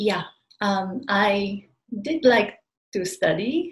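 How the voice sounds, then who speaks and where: A woman speaks with a Japanese accent. Her pitch varies in an ordinary way. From Japan, outside Tokyo. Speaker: spiritual community member. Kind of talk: interview, personal life story. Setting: remote call. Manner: halting.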